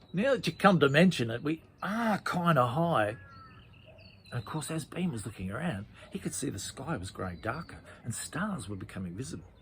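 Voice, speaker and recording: Speaking at a fairly quick pace, a man with a fairly high pitch swings very widely in pitch, with vocal fry. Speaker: children's storyteller. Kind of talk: children's story narration.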